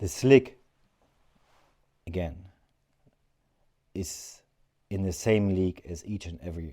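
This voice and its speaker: The man's voice has a dark, mellow tone and ordinary pitch variation at a fairly slow pace. The recording is very clean, with a silent background. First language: not English (third language). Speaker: outdoor gear reviewer. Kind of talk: product review. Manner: hesitant, with filler words.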